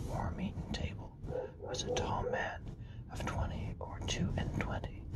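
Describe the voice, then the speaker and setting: The speaker whispers at a fairly slow pace. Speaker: ASMR reader. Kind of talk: classic novel reading. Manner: whispered; soft-spoken.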